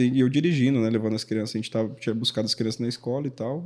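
A man speaks against a quiet background. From Paraná, Brazil. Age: 30s. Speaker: youth pastor. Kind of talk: casual chat. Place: studio. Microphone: studio mic.

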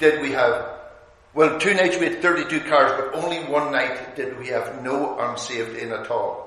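A man's voice at a moderate pace, with ordinary pitch variation and audible room echo. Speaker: visiting preacher. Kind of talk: sermon. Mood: warm, good humoured. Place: hall.

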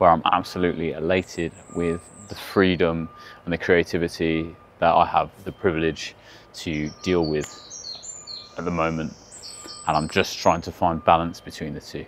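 With long, frequent pauses, a man with a very deep, low pitch speaks at a moderate pace in monotone, flat intonation, his dry sound carrying no echo over light background noise. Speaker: content creator. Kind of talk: casual vlog chat. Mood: reflective, candid. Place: forest. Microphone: lapel.

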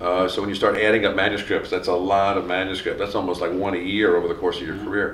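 Speaking at a fairly quick pace and a fairly low pitch, a man is heard with light background noise and audible room echo. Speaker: criminologist interviewer. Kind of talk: oral history interview. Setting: academic conference.

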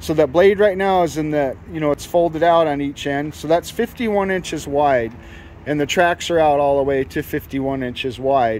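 In a normal speaking voice with an American accent, the speaker talks at a moderate pace with ordinary pitch variation, over light background noise in a dry sound with no echo. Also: man, fairly high pitch for a man. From United States. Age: 60s. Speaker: YouTuber and equipment dealer; YouTuber. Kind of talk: product demonstration walkthrough. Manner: casual, conversational. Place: open country. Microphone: phone near.

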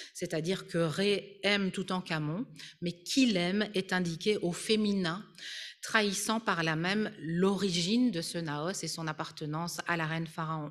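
In an ordinary speaking voice, a woman talks at a medium pitch and a fairly slow pace, with ordinary pitch variation. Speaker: art history professor and Egyptologist. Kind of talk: lecture. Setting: conference hall with audience and Zoom.

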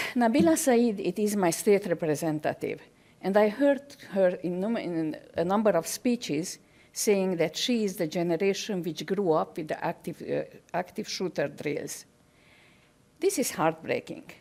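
The speaker has a non-native accent and a dark, mellow tone, using lively intonation at a moderate pace. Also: woman, medium pitch for a woman. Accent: foreign. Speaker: parent giving public comment. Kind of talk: public comment speech. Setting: podium at board meeting.

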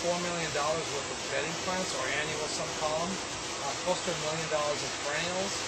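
The pace is moderate as this man talks. Behind his voice, background noise is loud. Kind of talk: interview answer.

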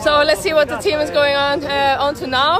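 Crowd noise fills the background as a woman with a high voice speaks in an enthusiastic tone. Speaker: traveling animal rights activist filming a protest. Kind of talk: street protest vlog narration. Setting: outdoors in city streets and shops.

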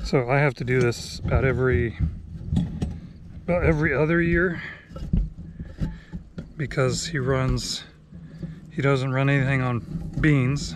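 A fairly slow pace with long, frequent pauses and ordinary pitch variation, over noticeable background noise in a dry sound with no echo. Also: man. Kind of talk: casual vlog chat. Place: open country. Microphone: phone near.

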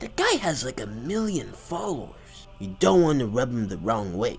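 A man uses a cartoonish character voice. Clear music plays in the background. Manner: chummy, excitable, then anxious.

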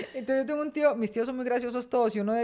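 In a raised, projected voice, a woman sounds animated and bright, with a sharp tone over a quiet background. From Colombia, Medellín. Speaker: podcast co-host. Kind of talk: casual chat. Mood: lively, humorous storytelling. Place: home room. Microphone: studio mic.

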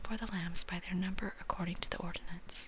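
A woman whispers at a fairly quick pace. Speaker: scripture reader. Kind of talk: scripture reading and teaching. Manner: soft-spoken, hushed reading voice. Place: home room. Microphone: webcam.

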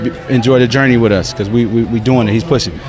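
Over clear background music, a man talks at a fairly quick pace with fairly even intonation, the sound dry with no echo. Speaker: interviewee. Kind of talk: interview answer. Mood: proud, promotional. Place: street. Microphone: handheld.

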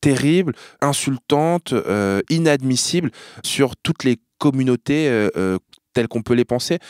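Speaking very slowly at a medium pitch, a man uses lively intonation in a dry, close sound with no echo. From France, Normandy. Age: 30s. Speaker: journalist and TV presenter. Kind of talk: casual chat. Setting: studio. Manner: animated.

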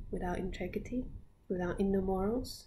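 A woman speaks in a medium pitch with a dark, mellow tone that is somewhat breathy. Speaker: spiritual teacher. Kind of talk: guided meditation. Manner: laughs often.

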